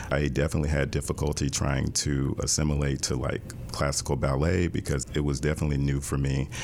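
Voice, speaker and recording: Over noticeable background noise, a man with a very deep, low voice speaks at a fairly quick pace in a monotone, flat intonation. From US South, Jackson, Mississippi. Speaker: dance professor and choreographer. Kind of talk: interview conversation.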